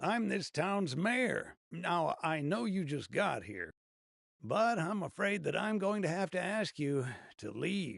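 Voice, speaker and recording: Raspy and put-on, a character voice moves at a fairly slow pace against a quiet background. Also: man, high pitch for a man. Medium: video game. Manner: courteous but firm and guarded.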